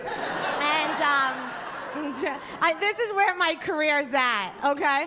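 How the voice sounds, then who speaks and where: A woman with a strong New York accent speaks in a raised, projected voice, high-pitched with ordinary pitch variation. Noticeable background noise runs behind her. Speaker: stand-up comedian. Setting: stage.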